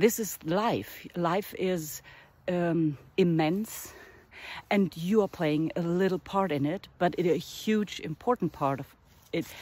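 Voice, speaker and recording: A woman with a German accent, fairly low pitch, lively intonation and fairly slow pace. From northern Germany. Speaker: artist and art teacher. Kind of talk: casual vlog monologue. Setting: outdoors in a forest. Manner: halting, with fillers.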